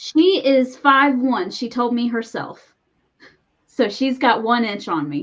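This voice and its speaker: A woman with a high voice talks at a very slow pace with lively intonation. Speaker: podcast co-host. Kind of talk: casual chat.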